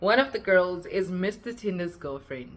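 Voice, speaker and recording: A woman with a South African accent speaks at a moderate pace in a medium pitch. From South Africa, West Rand. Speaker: YouTuber. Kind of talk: storytime monologue. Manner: sounds like shouting; animated.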